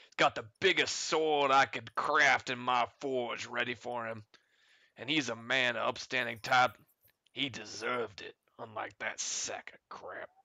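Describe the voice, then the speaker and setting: A man puts on a raspy character voice at medium pitch. He keeps a moderate pace and fairly even intonation. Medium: actual play. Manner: gruff, folksy.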